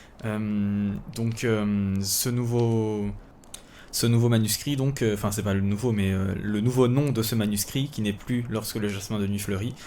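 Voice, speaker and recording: A man with a dark, mellow tone speaks at a fairly slow pace and fairly even intonation, with audible room echo around him. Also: fairly low pitch for a man. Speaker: writer and podcast host. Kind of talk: casual solo podcast. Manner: calm, relaxed; hesitant, many fillers.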